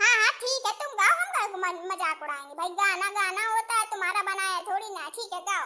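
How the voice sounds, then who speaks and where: A woman puts on a cartoonish character voice, pitched extremely high and delivered at a fairly quick pace. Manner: teasing, jovial.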